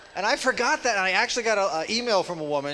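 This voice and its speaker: The intonation is lively and the pace fairly quick. Noticeable background noise runs throughout. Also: man. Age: 50s. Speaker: stand-up comedian. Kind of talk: stand-up. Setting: stage with audience.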